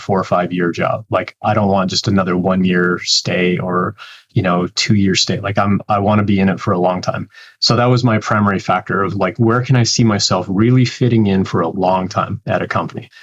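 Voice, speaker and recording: In an ordinary speaking voice, a man talks at a fairly quick pace with a fairly low pitch, fairly even intonation and very even loudness. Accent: Canadian. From Canada. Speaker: developer relations professional. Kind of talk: interview.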